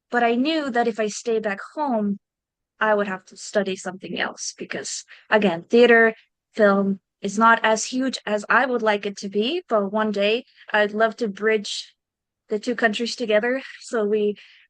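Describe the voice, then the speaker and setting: With a Slovenian accent, a woman speaks at a moderate pace and fairly high pitch, with big swings in loudness, in a dry, close sound with no echo. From Slovenia, small village. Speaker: actor. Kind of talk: interview. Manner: casual, conversational.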